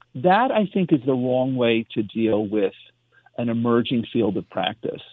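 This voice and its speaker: At a moderate pace, a man with an unremarkable speaking voice talks at a medium pitch with lively intonation. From US, immigrant family. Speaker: pediatrician. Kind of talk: radio interview.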